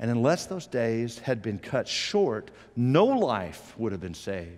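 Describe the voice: Slow in pace, a man with a slightly mellow tone moves through big pitch swings. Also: medium pitch for a man.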